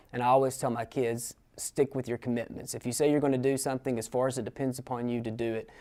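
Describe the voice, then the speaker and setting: Over a silent background in a very clean recording, a man with an East Tennessee accent talks very fast at medium pitch, his dark, mellow tone delivered in a flat monotone. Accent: Southern US (East Tennessee). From US South, East Tennessee. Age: 30s. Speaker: adult college student. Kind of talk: interview testimony. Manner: halting, many fillers.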